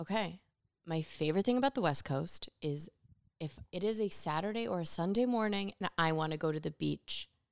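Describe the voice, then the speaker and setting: The voice has an American accent, lively intonation and a moderate pace. The sound is dry and close with no echo, on a very clean recording with a silent background. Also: woman. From upstate New York. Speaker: podcast guest, host's friend. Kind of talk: casual chat. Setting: at home on a couch, evening.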